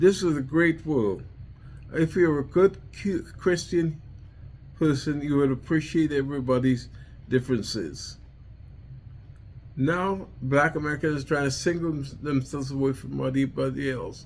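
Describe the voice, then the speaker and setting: A man in a Trinidadian accent at a fairly high pitch, ordinary pitch variation and moderate pace, with long, frequent pauses. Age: 70s. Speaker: war veteran and vlogger. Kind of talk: personal monologue vlog. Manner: halting, repetitive.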